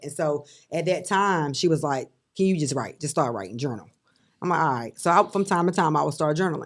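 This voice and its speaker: A woman with a North Carolina accent and a very deep, low voice, racing at a very fast pace in a very clean recording with a silent background. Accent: Southern US (North Carolina). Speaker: author and business owner. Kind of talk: testimony.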